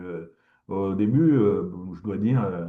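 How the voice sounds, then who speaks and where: A man speaks with lively intonation. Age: 60s. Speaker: professor. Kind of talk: lecture. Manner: halting, many fillers and repetitions.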